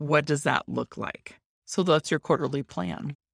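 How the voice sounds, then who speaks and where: A woman with very deep, low pitch and vocal fry, on a very clean recording with a silent background and a dry, close sound with no echo. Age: 50s. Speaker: business coach podcast host. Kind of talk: solo podcast tutorial.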